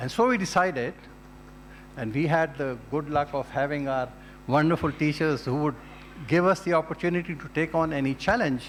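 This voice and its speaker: Here a man with a Pashto accent talks at a fairly quick pace, yet with long, frequent pauses. His pitch variation is ordinary. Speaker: retired diplomat, alumnus. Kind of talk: speech. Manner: formal.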